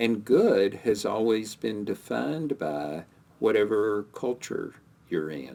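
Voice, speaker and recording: A man's fairly low voice with very wide pitch swings, at a very slow pace. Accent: American. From US South. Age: 60s. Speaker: podcast co-host. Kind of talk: casual chat.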